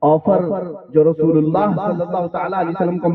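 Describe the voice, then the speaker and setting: A man speaks in a passionate tone. Background noise is noticeable. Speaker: Islamic scholar giving a sermon. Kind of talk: Islamic sermon (bayan) to a live audience. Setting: live public gathering. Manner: forceful, passionate, rhetorical.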